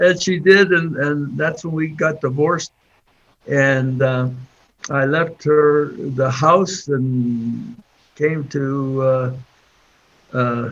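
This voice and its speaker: A man speaks with an American accent. His pace is very slow. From Pittsburgh area, Pennsylvania. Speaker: Korean War Navy veteran, engineer. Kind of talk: interview answer. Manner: hesitant, halting.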